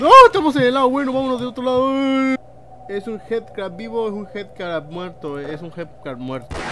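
Noticeable background noise behind a man with a Mexican accent, high in pitch with very wide pitch swings, at a moderate pace. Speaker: gaming youtuber. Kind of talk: let's play commentary. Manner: animated.

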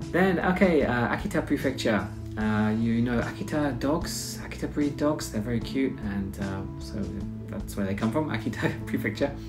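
Clear music sits in the background while a man speaks at a moderate pace. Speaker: presenter. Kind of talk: casual explainer over slides. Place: home room. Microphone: webcam.

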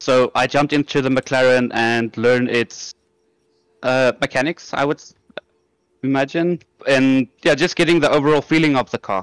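With long, frequent pauses, a man talks at medium pitch, a moderate pace and fairly even intonation, in a dry, close sound with no echo. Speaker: sim racing driver. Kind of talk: post-race interview.

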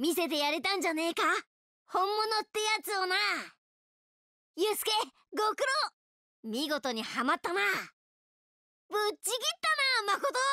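A woman puts on a cartoonish character voice with an extremely high pitch and an upbeat tone. She speaks at a moderate pace with long, frequent pauses. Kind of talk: video game character lines. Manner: cocky, upbeat.

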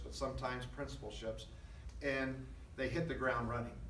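A man is speaking in a room with audible echo. Light background noise can be heard. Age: 50s. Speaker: school superintendent. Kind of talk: press conference. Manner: halting. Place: meeting room. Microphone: podium.

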